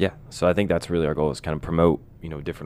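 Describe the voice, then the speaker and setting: Vocal fry runs through a man's voice as he speaks with fairly even intonation. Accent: American. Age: 20s. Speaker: sales and marketing professional. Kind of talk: casual chat.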